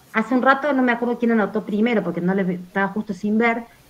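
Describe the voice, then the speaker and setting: A woman speaks at a very fast pace and a fairly high pitch, with ordinary pitch variation and noticeable background noise. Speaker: university teacher. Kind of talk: online class discussion.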